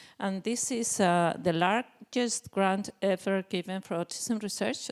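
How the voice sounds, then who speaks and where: A woman with a Spanish accent speaks at a medium pitch, the sound dry and close with no echo. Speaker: psychiatrist and researcher. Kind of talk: conference presentation. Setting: conference panel. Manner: halting, with many fillers.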